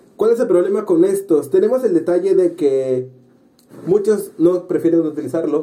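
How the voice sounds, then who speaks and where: A man's high voice moves along at a moderate pace, its pitch varying in an ordinary way. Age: 20s. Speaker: podcast host. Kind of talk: casual chat.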